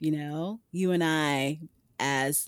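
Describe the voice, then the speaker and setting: Heard on a very clean recording with a silent background, a woman with a Brooklyn accent has a very deep, low pitch, the sound dry and close with no echo. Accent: New York (Brooklyn). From New York City, Brooklyn. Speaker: runner and former teacher. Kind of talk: interview conversation.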